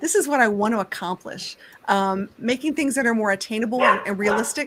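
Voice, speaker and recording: A woman has a plain, everyday voice. Her pitch is fairly high and her intonation lively. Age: 50s. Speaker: youtuber guest. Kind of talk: casual chat.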